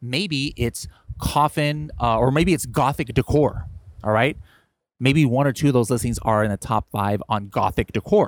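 Here a man speaks at a medium pitch with lively intonation and very even loudness. The sound is dry and close, with no echo. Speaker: e-commerce seller coach. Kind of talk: tutorial. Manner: fast; casual.

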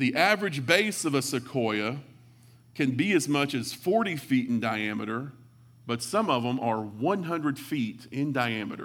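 A man speaks with a West Texas accent and lively intonation. Audible room echo is present. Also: medium pitch for a man. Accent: West Texas drawl. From West Texas (Hawley, near Abilene). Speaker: pastor, church planter. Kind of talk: sermon.

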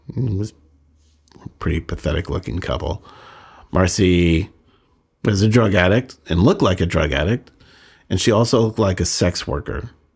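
On a very clean recording with a silent background, a man with an American accent speaks at a very deep, low pitch, somewhat breathy, at a moderate pace with ordinary pitch variation. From Northern California. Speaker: podcast host, recovering addict. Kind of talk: personal storytelling monologue.

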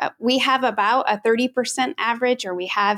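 A woman with a plain, everyday voice and fairly high pitch talks with ordinary pitch variation, in a dry, close sound with no echo. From Washington State, US. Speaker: lawyer, head of a legal advocacy organization. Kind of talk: interview.

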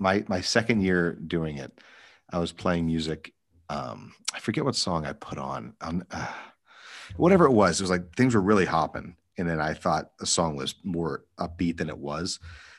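In a very clean recording with a silent background, a man with a very deep, low voice and vocal fry speaks at a moderate pace with ordinary pitch variation. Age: 30s. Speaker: wedding DJ. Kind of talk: casual chat.

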